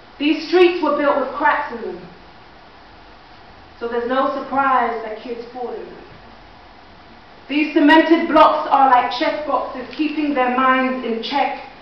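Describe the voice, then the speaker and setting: Amid noticeable background noise and audible room echo, a woman with a high voice speaks at a fairly slow pace, with long, frequent pauses, ordinary pitch variation and big swings in loudness. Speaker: spoken word poet. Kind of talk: spoken word performance. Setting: stage with audience.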